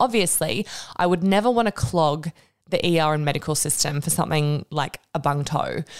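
Animated in tone, a woman with an Australian accent speaks in a very deep, low pitch. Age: 30s. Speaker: podcast host and Pilates instructor. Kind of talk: casual solo update. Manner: chatty, animated.

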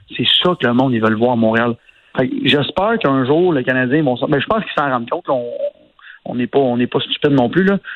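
Talking at a fairly quick pace with ordinary pitch variation, the speaker leaves long, frequent pauses. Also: man, medium pitch for a man. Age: 30s. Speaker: entrepreneur, radio commentator. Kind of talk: casual chat.

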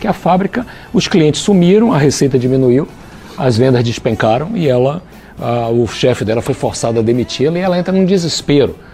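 A man speaks at a fairly quick pace with lively intonation amid noticeable background noise. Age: 60s. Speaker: business consultant and author. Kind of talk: interview. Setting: studio, also streamed live on Facebook.

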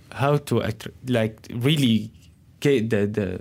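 Heard on a very clean recording with a silent background, a man speaks with an Arabic accent. His voice is of medium pitch with fairly even intonation. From Syria, Damascus. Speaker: chef and restaurant owner. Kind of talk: interview. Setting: radio studio. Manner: halting.

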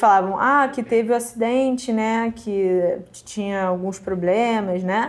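A woman talks at a fairly slow pace with ordinary pitch variation. Hers is an ordinary speaking voice. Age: young. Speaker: interviewee, granddaughter. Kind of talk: interview.

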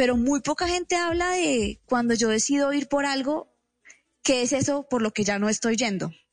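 In a high pitch with lively intonation, a woman speaks at very even loudness, the sound dry and close with no echo. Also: moderate pace. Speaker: speaker and writer. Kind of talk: radio interview.

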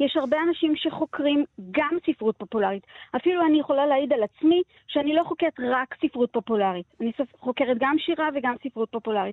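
A woman talks at a fairly quick pace with a high pitch and lively intonation. Her loudness stays very even. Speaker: literature lecturer. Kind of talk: interview.

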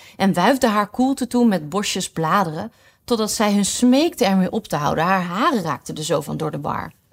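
Lively intonation marks the delivery, given in an unforced reading voice.

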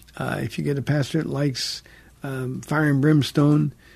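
A dark, mellow, somewhat breathy tone at a moderate pace, with fairly even intonation. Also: man. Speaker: pastor and radio call-in host. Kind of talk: radio call-in Bible Q&A. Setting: radio studio. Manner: soft-spoken, never raises voice; hesitant, many fillers.

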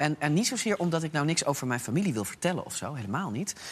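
A man speaks at a fairly high pitch. His voice moves through very wide pitch swings. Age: 40s. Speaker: opinion pollster. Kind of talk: casual chat. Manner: halting.

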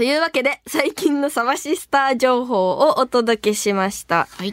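The woman's voice is high in pitch, with ordinary pitch variation at a moderate pace. The sound is dry and close, with no echo. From Niigata, Japan (rural mountains). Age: 20s. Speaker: band vocalist, radio host. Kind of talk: casual radio chat.

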